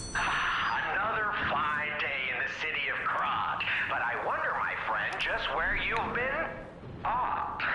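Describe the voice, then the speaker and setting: A put-on character voice speaks at a fairly slow pace. There is clear echo and loud background noise. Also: man. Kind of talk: game-show host patter. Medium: game stream. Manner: theatrical, rhyming, gleeful.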